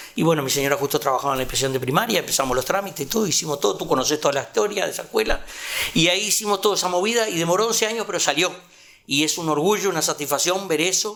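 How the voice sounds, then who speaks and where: Talking at a very fast pace over noticeable background noise, a man uses a high pitch and lively intonation. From Uruguay, rural Canelones. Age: 70s. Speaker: retired community organizer. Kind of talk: interview testimony.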